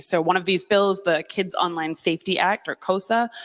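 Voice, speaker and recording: In an American accent, a woman talks with a medium pitch. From United States. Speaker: digital rights advocate. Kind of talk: panel discussion. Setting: stage with audience. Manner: hesitant, many fillers.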